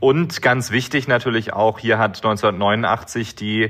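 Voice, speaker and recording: A man's medium-pitched, ordinary speaking voice with fairly even intonation. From Germany, Baden-Württemberg. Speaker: mayor. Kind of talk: interview.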